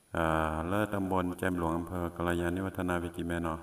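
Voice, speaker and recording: The man has a very deep, low pitch. His intonation stays monotone and flat. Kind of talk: casual spoken diary. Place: open country.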